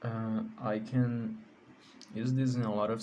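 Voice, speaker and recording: Fairly even intonation and a Portuguese accent come through with audible room echo. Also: man. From Brazil. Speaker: card game content creator. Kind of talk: deck profile tutorial. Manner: halting, with many fillers.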